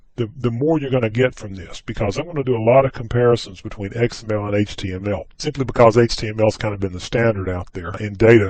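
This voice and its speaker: Speaking very fast with hardly any pauses, a man with a slight Southern US accent uses a fairly low pitch and big swings in loudness. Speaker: software trainer. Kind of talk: tutorial. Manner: casual, conversational.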